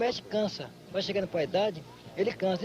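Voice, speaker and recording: This man has a high pitch. He talks at a very fast pace. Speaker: capoeira master. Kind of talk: documentary interview.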